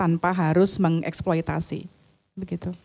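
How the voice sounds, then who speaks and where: On a very clean recording with a silent background, a woman speaks at a moderate pace with a fairly low pitch and monotone, flat intonation. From Central Java, Boyolali. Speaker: author. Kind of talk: talk show interview. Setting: campus stage with audience. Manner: thoughtful with hesitations.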